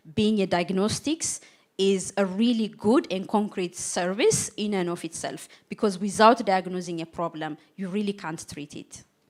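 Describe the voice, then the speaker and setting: A woman with a non-native accent speaks at a moderate pace in a medium pitch, with ordinary pitch variation and big swings in loudness. The recording is very clean, with a silent background. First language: not English. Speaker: AI auditor on panel. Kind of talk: live panel discussion.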